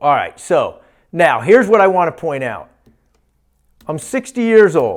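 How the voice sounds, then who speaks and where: A man speaks fairly slowly in a high pitch, his voice swinging very widely up and down. The recording is very clean, with a silent background. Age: 50s. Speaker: physician giving health talks. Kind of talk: lecture. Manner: animated.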